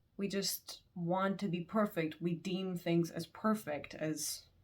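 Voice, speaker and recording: Her voice is somewhat breathy and fairly low for a woman. The intonation stays fairly even. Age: 20s. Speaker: student. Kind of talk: casual talk to camera.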